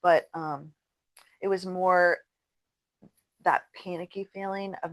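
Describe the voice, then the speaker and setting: A woman's fairly low, plain, everyday voice with fairly even intonation, in a dry, close sound with no echo and a quiet background. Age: 60s. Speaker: podcast co-host. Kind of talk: casual chat.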